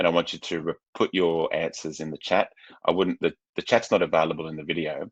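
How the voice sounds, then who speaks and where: Very fast and with big swings in loudness, a man with an Australian accent speaks in a dry, close sound with no echo. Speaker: psychological coach and psychotherapist. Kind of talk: webinar presentation. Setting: online webinar, seated. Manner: halting, many fillers and repetitions.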